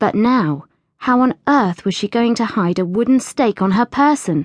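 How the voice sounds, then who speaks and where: In an animated, dramatic tone, a woman talks at a moderate pace with lively intonation. The sound is dry and close, with no echo. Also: quiet background. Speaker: audiobook narrator. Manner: animated character voices with a proper, clipped upper-class English lilt.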